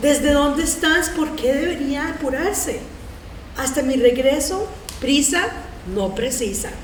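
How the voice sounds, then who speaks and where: A woman with a high pitch talks at a moderate pace with ordinary pitch variation and long, frequent pauses. Background noise is noticeable and the room echo is audible. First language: Spanish. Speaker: community theater reader, social worker. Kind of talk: reading aloud poetry.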